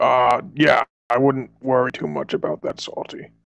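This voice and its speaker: Using a raspy, put-on character voice, a man speaks at a moderate pace and a medium pitch. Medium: actual play. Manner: grandiose, slightly pompous.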